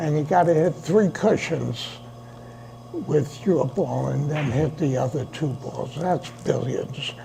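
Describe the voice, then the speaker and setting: Very slow delivery amid noticeable background noise. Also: man, fairly high pitch for a man, ordinary pitch variation. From New York City, the Bronx. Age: 80s+. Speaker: billiards club president. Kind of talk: interview.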